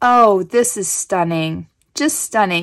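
The speaker has an American accent and an animated tone. The pace is fairly slow, over a quiet background. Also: woman. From Kansas. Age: 40s. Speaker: craft YouTuber. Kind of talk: casual unboxing chat. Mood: delighted, grateful.

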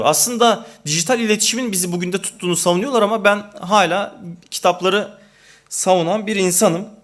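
A man at a moderate pace. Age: 30s. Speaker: panel speaker. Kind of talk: speech. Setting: panel event. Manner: halting.

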